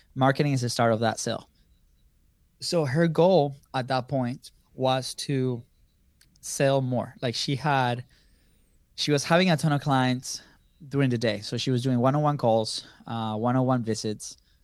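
On a very clean recording with a silent background, a man at a medium pitch speaks at a moderate pace with fairly even intonation and long, frequent pauses. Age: 30s. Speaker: business co-founder, content marketer. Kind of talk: interview.

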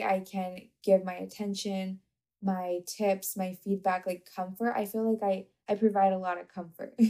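A soft-spoken woman talks at a fairly slow pace, her dark, mellow tone sitting at a medium pitch. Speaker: podcast host and coach. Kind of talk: casual solo monologue. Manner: monotone.

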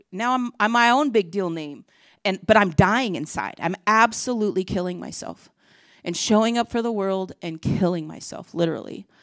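In a very clean recording with a silent background, a woman with a normal speaking voice talks at a medium pitch and a moderate pace, with lively intonation and big swings in loudness. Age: 50s. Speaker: preacher. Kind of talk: sermon.

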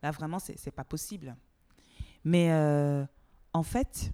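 A woman speaks in a dark, mellow tone. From Togo. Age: 40s. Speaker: TV producer and actress. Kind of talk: interview.

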